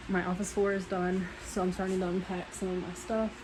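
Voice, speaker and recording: A soft-spoken woman of medium pitch talks at a fairly quick pace against noticeable background noise. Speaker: nursing student vlogger. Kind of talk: casual vlog.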